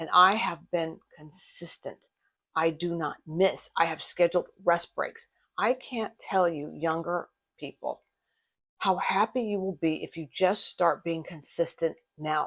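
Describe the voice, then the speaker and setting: A woman with an unremarkable speaking voice, fairly low in pitch, fairly even in intonation and fairly slow, on a very clean recording with a silent background. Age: 60s. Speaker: fitness reaction youtuber, personal trainer. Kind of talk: video reaction commentary.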